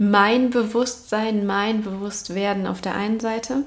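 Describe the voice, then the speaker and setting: With audible room echo, a woman speaks very slowly in a somewhat breathy voice at a medium pitch. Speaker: podcast host. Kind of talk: solo reflective monologue. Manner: casual, with filler sounds and laughter.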